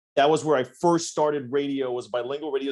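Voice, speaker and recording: A man speaks with a Spanish accent. His pitch is fairly high. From Sonora, Mexico. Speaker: radio host. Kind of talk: casual chat. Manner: animated.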